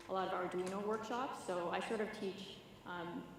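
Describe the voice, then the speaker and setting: A woman with a Canadian accent and fairly even intonation, with audible room echo and noticeable background noise. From Canada. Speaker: conference speaker, software developer and educator. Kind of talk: conference talk. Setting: stage with audience. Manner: casual, filler-heavy.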